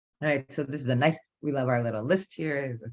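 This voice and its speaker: Vocal fry runs through a woman's speech at a fairly quick pace. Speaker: podcast host and bartender. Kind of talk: live-streamed motivational talk. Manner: loud, boisterous.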